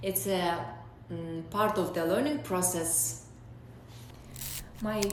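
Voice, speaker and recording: A woman's very slow speech at a medium pitch with lively intonation, plus audible room echo and noticeable background noise. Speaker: vlogger sharing exam experience. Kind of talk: personal advice vlog. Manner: hesitant, many fillers.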